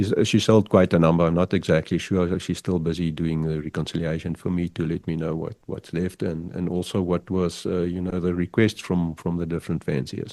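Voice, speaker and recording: A man with a South African accent, very deep and low in pitch with a dark, mellow tone, monotone and flat, fairly quick with hardly any pauses, over a quiet background. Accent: South African (Afrikaans). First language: Afrikaans. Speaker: pigeon fancier and figurine artist. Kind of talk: podcast interview. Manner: halting, repeats words.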